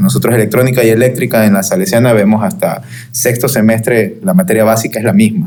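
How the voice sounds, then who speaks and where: With a strong Guayaquil accent, a man at medium pitch talks at a fairly quick pace, with audible room echo and noticeable background noise. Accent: strong Guayaquil coastal. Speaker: electrical engineer. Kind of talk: casual panel chat. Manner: rhythmic, relaxed.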